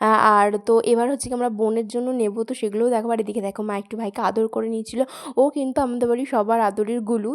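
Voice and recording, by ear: Her delivery is very fast, and this woman keeps her fairly high voice at a fairly even intonation.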